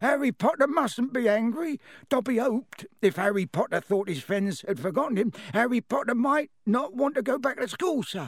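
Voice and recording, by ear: A man does a put-on character voice at an extremely high pitch, with a slightly husky edge. He keeps a moderate pace and lively intonation.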